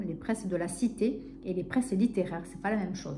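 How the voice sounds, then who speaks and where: A woman with a southern French accent at a moderate pace, ordinary pitch variation and noticeable background noise. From southern France, Narbonne. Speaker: book vlogger. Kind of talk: casual vlog chat. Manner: hesitant, many fillers.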